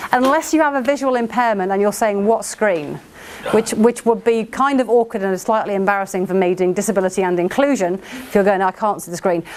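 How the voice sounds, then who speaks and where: A woman speaks with lively intonation at a fairly quick pace. Noticeable background noise is present. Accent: English. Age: 40s. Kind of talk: workshop talk. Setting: venue with projector and audience. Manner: fast.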